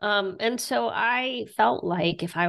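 Someone speaks in an American accent with ordinary pitch variation. The background is quiet. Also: woman. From southern West Virginia. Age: 40s. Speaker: author and teacher. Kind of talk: interview.

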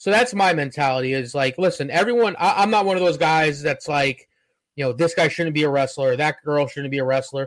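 Speaking with a normal speaking voice, a man moves at a fairly quick pace, his fairly high pitch showing ordinary pitch variation. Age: 30s. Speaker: professional wrestler. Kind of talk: casual chat.

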